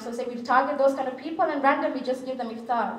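A woman talks in a high voice with fairly even intonation. Audible echo from the room surrounds her. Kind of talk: public speech with personal story. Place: hall. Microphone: podium.

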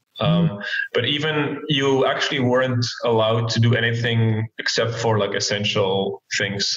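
A man speaks at a moderate pace against a quiet background. The room echo is audible. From Belgium. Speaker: professional poker player and entrepreneur. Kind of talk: casual chat. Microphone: video call.

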